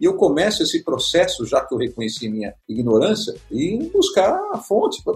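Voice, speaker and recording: Music plays in the background as the speech moves along at a moderate pace. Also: man. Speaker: business panel host. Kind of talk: panel discussion.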